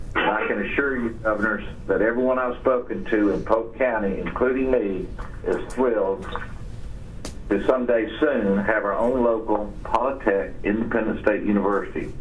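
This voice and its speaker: In a room with audible echo and noticeable background noise, a man speaks at a moderate pace with a medium pitch and fairly even intonation. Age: 60s. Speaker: businessman. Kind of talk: formal statement. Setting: phone call. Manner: formal.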